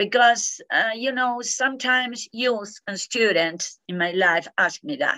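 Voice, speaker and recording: A woman's high-pitched voice with a Spanish accent, at a fairly slow pace with hardly any pauses. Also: ordinary pitch variation. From Argentina. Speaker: peace education scholar. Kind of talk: interview. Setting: video call. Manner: halting.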